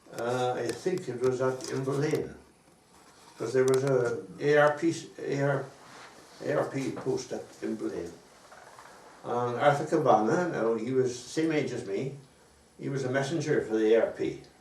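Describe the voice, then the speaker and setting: A man with a South Welsh accent talks at a moderate pace and medium pitch, with ordinary pitch variation and long, frequent pauses. Audible room echo and noticeable background noise fill the recording. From Wales, Pembrokeshire. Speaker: war veteran. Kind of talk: oral history interview. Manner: halting.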